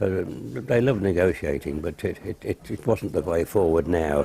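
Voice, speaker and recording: A man speaks in a very deep, low voice with a dark, mellow tone that is somewhat breathy. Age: 80s+. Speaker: company chairman. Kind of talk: interview answer.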